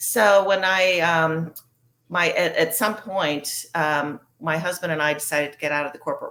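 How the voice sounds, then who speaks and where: The speaker keeps a moderate pace and ordinary pitch variation. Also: woman. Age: 60s. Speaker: recovering alcoholic sharing her story. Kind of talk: personal testimony interview. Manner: conversational with frequent fillers.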